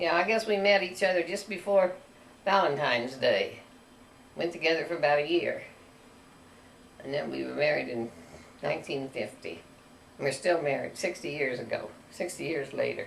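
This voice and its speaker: With a rural Missouri accent, a woman talks at a moderate pace, leaving long, frequent pauses, over noticeable background noise with audible room echo. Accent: Midwestern American, rural Missouri. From US Midwest, rural northwest Missouri. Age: 80s+. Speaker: grandmother telling her life story. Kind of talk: casual family interview.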